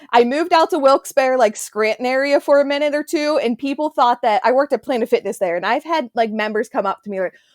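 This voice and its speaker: A woman talks at a very fast pace and a high pitch with hardly any pauses, in a slight Southern US accent. The recording is very clean, with a silent background. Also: lively intonation, dry, close sound with no echo. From western Pennsylvania, near Pittsburgh. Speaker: podcast host. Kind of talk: casual chat.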